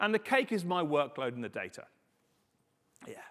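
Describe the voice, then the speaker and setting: At a moderate pace, a man with a British accent speaks in an animated tone with very wide pitch swings, captured in a very clean recording with a silent background. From UK. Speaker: conference speaker on confidential computing. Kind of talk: conference talk.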